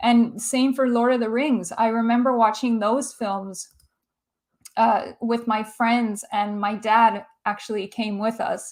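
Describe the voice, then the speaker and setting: In a Canadian accent, a woman with an unremarkable speaking voice talks at a fairly high pitch with fairly even intonation. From Canada. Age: 30s. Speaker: film YouTuber. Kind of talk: livestream chat reading viewer comments. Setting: livestream.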